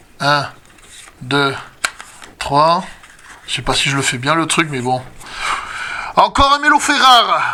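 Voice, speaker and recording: A man talks over noticeable background noise. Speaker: YouTuber opening card packs. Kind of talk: casual pack-opening commentary. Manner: speaking softly.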